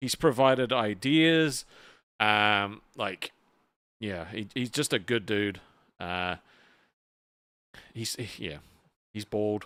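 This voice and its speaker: On a very clean recording with a silent background, a man with an American accent speaks at a very slow pace with a fairly low pitch, a bright, sharp tone, ordinary pitch variation, and long, frequent pauses. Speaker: livestream host. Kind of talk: casual livestream chat.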